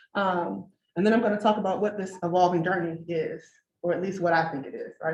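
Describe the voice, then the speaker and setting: Speaking at a very fast pace, a woman with an American accent has a fairly low pitch, fairly even intonation and a somewhat breathy voice, with audible room echo. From Detroit, Michigan, US. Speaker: engineer and researcher speaking at a design event. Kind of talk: conference talk. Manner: conversational, lots of 'right?'.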